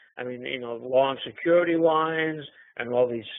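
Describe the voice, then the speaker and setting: A man with a New York accent talks at a fairly slow pace. His pitch is fairly high, with ordinary variation. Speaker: trader and trading teacher. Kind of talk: webinar talk.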